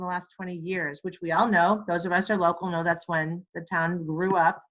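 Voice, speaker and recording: This woman's voice sits at a medium pitch. She talks at a fairly quick pace. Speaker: real estate trainer. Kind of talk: webinar tutorial. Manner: fast; casual, chatty with fillers.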